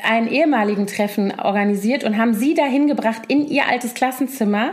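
Speaking at a moderate pace, a woman has a plain, everyday voice, fairly high in pitch with ordinary pitch variation. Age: 40s. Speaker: podcast co-host. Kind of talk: casual chat.

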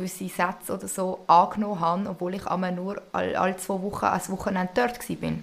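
At a moderate pace, a woman speaks in a flat, monotone way at medium pitch. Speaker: co-host, host's older sister. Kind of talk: casual chat.

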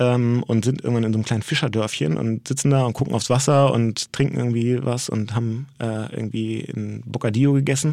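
A man of medium pitch talks at a fairly quick pace with hardly any pauses, a dark, mellow tone and ordinary pitch variation. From Hamburg, northern Germany. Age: 40s. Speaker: agency co-founder. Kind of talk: interview conversation. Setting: studio.

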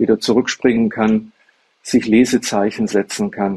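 A man's dark, mellow voice at a medium pitch in a flat monotone, dry and close with no echo. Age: 70s. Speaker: lawyer and blind self-help advocate. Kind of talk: interview.

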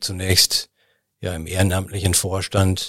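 On a very clean recording with a silent background, a man with a very deep, low pitch speaks somewhat breathily at a fairly slow pace. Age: 60s. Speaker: charity association chairman. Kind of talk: interview. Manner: hesitant, frequent fillers.

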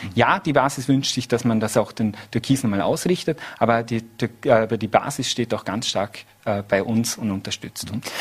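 A man speaks at medium pitch and a moderate pace. His is an unremarkable speaking voice with ordinary pitch variation. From Austria, Vorarlberg (Lustenau). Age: 30s. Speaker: politician. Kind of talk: TV interview. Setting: studio.

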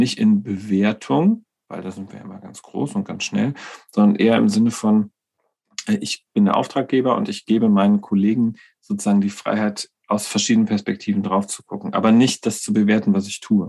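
The speech moves at a moderate pace. Loudness swings widely. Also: man. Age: 40s. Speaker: nursing coach and co-host. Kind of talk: casual chat.

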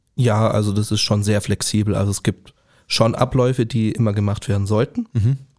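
A man's plain, everyday voice at fairly low pitch and moderate pace, dry and close with no echo, in a very clean recording with a silent background. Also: fairly even intonation. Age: 20s. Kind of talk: podcast interview.

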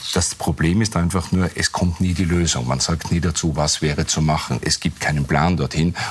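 Very deep and low, a man's voice moves at a moderate pace with hardly any pauses and very even loudness. His intonation stays fairly even over noticeable background noise. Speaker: communications consultant. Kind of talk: TV panel discussion. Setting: TV studio.

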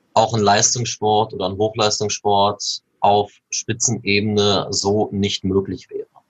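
A man's fairly low, somewhat breathy voice at a very slow pace, monotone with flat intonation. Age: 20s. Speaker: youth table tennis coach. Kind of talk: podcast interview.

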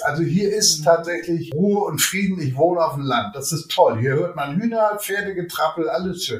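A man's high-pitched voice with ordinary pitch variation, amid noticeable background noise and audible room echo. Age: 50s. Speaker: podcast guest living with MS, retired. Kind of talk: casual interview chat. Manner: animated, laughs often.

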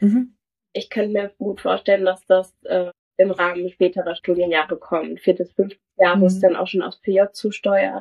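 An unremarkable speaking voice comes from a woman at a medium pitch. She keeps a moderate pace and fairly even intonation. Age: young. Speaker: medical student. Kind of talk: casual interview.

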